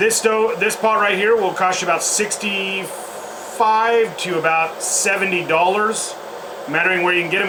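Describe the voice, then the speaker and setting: A moderate pace amid noticeable background noise. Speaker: outdoor gear reviewer and wilderness guide. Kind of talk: product review demonstration. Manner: loud.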